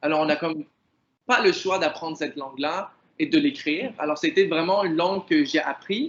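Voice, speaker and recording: Pitch variation is ordinary as this man talks at a moderate pace. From Algeria (Kabylie), moved to Canada at 10. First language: Kabyle (speaking French). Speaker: artist and poet. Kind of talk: interview. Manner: hesitant, many fillers.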